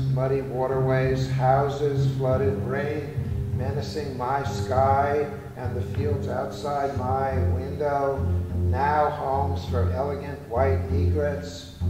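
A man's very slow speech with audible room echo and clear music in the background. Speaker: performance poet. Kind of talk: poetry reading. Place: hall. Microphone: camera far.

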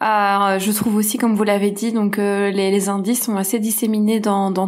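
We hear a woman talking. Her voice is pitched in the medium range. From Belgium. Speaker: screenwriter. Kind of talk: casual discussion. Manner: halting, many hesitations.

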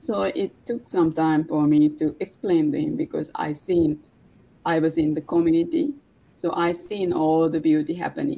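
A woman speaks in a Sri Lankan accent. Her tone is dark and mellow. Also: fairly low pitch for a woman, ordinary pitch variation, moderate pace. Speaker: online business partner. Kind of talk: casual chat. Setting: live video stream. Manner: halting, non-fluent English. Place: home room. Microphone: video call.

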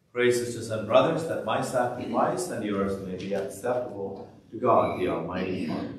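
A man speaks at a moderate pace with ordinary pitch variation and hardly any pauses. There is audible room echo and light background noise. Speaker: priest celebrating Mass. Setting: church, livestreamed Mass. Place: church.

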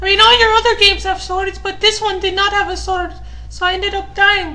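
Over clear background music, a put-on character voice talks at a moderate pace.

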